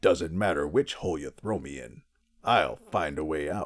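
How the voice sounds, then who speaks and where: In a put-on character voice, a man pitches his voice very deep and low. His pace is moderate. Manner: dramatic, confident.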